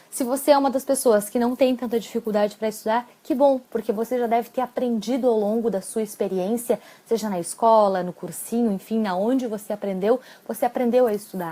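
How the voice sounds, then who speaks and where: Fairly quick speech from a woman with a fairly high pitch, ordinary pitch variation and a dark, mellow tone. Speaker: psychologist and exam-prep coach. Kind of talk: live-stream talk with tips. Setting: live stream.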